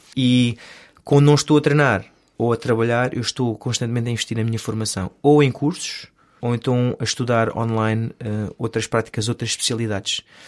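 A man talks at a medium pitch and a fairly quick pace in an unremarkable speaking voice. His intonation is fairly even, and the recording is very clean with a silent background. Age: 30s. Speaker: stunt performer and stunt coordinator. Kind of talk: casual interview.

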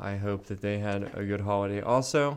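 An ordinary speaking voice, a man's at a fairly low pitch, with fairly even intonation and a moderate pace. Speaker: podcast host. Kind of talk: casual chat. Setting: studio. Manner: joking, laughs often.

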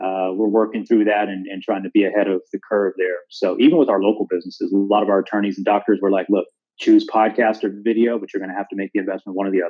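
Hardly pausing at all, a man talks at a very fast pace with a fairly low pitch and fairly even intonation. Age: 40s. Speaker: digital marketing agency owner. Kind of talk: casual interview. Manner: halting, frequent repetitions.

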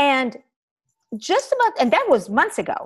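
A woman with an Israeli accent speaks in a high pitch. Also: quiet background. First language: Hebrew. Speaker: podcast host and author. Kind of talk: interview conversation.

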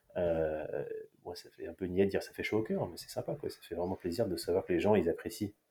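Big jumps in loudness from a man talking rather quickly. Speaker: athletics meeting organiser. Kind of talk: casual interview. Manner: hesitant, repetitive.

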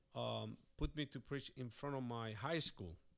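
Ordinary pitch variation colors a man's speech, which moves at a very slow pace. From Chile. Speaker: pastor. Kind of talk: casual chat.

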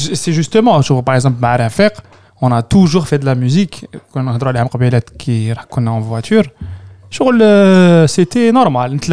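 A dark, mellow tone at a very slow pace, with very wide pitch swings. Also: man, fairly high pitch for a man. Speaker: podcast host. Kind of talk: casual chat.

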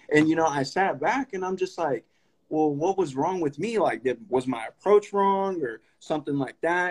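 An unremarkable speaking voice with lively intonation at a moderate pace, in a dry, close sound with no echo. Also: man, fairly high pitch for a man. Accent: American. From Sacramento area, California (grew up in North Highlands, from Stockton). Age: young. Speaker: podcast host. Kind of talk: casual interview conversation. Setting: live stream.

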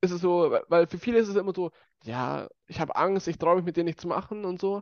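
A man talks with a high pitch at a fairly quick pace. His intonation stays fairly even. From Bavaria, Germany. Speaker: youth council member, podcast host. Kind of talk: casual chat.

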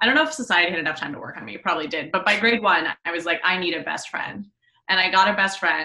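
A woman's bright, sharp voice at a very fast pace, with lively intonation and big swings in loudness. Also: medium pitch for a woman. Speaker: podcast guest, friend. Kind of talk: casual chat.

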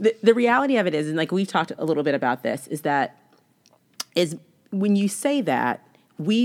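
This woman's voice has lively intonation and an animated tone. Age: 30s. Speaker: podcast host. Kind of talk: casual chat.

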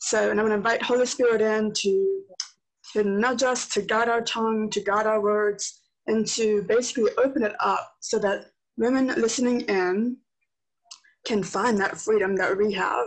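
Here is a woman with an unremarkable speaking voice, pitched fairly high. Her pace is moderate and her intonation fairly even. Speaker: podcast host. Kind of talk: casual interview chat.

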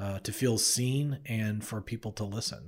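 On a very clean recording with a silent background, a man talks at a fairly slow pace in an ordinary speaking voice at a medium pitch. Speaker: podcast host and co-producer. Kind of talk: casual interview conversation. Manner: friendly, conversational.

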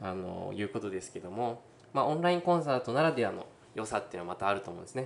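A man at medium pitch and a very fast pace, with lively intonation and big swings in loudness. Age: 20s. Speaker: violinist. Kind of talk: interview; speech to online concert audience.

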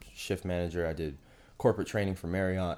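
With an American accent and a very deep, low pitch, a man talks at a very fast pace on a very clean recording with a silent background. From Pennsylvania, Pittsburgh. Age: 30s. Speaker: personal trainer and business owner. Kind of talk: casual interview chat.

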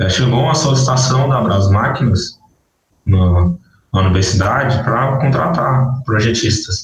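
A normal speaking voice from a man, medium in pitch, with lively intonation and a fairly slow pace. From northern Minas Gerais, Brazil. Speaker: agronomist in irrigation. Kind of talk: interview.

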